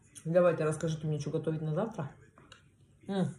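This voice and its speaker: With audible room echo and light background noise, a woman speaks fairly quickly at a fairly low pitch, somewhat breathy, with fairly even intonation. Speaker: food vlogger. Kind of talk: casual mukbang vlog chat. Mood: relaxed, warm. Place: home room. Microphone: phone near.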